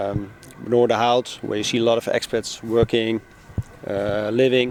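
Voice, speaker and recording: With a Dutch accent, the speaker talks at a moderate pace against noticeable background noise. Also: man. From Netherlands, Amsterdam. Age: 40s. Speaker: newspaper publisher. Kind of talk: casual interview. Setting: outdoors on a public bench. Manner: hesitant, many fillers.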